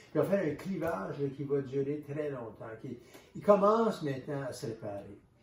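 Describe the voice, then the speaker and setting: A man with a Canadian French accent, fairly high in pitch, at a moderate pace with lively intonation and big swings in loudness, against noticeable background noise. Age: 70s. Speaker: author and historian. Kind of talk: interview. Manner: halting, with many repetitions.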